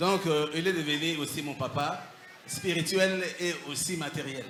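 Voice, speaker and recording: A man with a fairly high pitch talks at a very slow pace, using ordinary pitch variation. Audible room echo and noticeable background noise fill the recording. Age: 60s. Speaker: former occultist giving testimony. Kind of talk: testimony.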